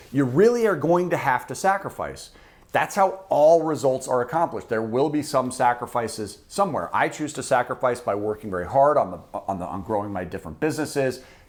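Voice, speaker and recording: A loud man's voice at a medium pitch, with very wide pitch swings, a fairly quick pace, and hardly any pauses, on a very clean recording with a silent background. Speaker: personal finance YouTuber. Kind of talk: direct-to-camera explainer video. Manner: loud, fired-up.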